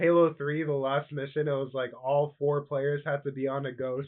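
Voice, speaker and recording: A man speaks at a moderate pace. His fairly high voice has a flat, monotone intonation. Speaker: gaming podcast co-host. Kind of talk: casual chat.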